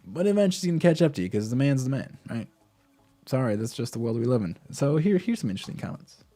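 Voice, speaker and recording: With music in the background, a man at a medium pitch speaks at a very fast pace, his pitch swinging very widely. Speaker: crypto vlogger. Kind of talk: casual commentary. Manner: halting.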